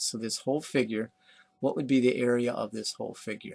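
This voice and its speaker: At a fairly quick pace, a man speaks in a normal speaking voice at medium pitch. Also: very clean recording, silent background. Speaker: math teacher. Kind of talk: recorded lecture. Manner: casual.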